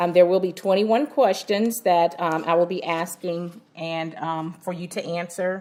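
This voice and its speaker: A woman talks at a moderate pace in an ordinary speaking voice, fairly low in pitch with fairly even intonation. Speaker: doctoral student interviewer. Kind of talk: research interview.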